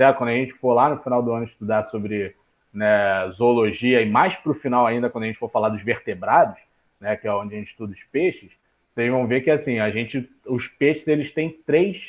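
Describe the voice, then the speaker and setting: This man has an unremarkable speaking voice, medium in pitch with ordinary variation, and he talks at a fairly quick pace. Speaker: biology teacher. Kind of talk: online class lecture.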